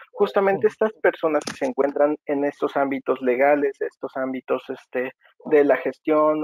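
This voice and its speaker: Pitched fairly high, a man with an ordinary speaking voice talks at a moderate pace, with a dry sound, no echo and a quiet background. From Mexico. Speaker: podcast co-host. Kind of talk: interview. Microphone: video call.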